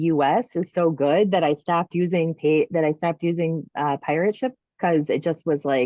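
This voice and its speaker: A woman's fairly low-pitched voice with an American accent at a moderate pace. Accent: strong regional accent, presumably Minnesotan. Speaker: author selling books direct. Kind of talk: casual chat. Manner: halting.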